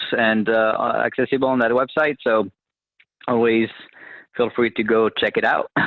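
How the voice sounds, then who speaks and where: A man with a French accent talks at a fairly quick pace. His medium pitch, fairly even intonation and very even loudness hold throughout. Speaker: government technology officer. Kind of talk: webinar presentation. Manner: many filler words and restarts.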